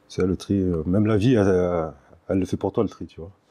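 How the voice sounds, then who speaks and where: Speaking at a fairly quick pace, a man with a very deep, low voice and a dark, mellow tone is heard over a quiet background. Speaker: interview guest, author of a memoir. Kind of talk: interview. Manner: soft-spoken; hesitant, many fillers.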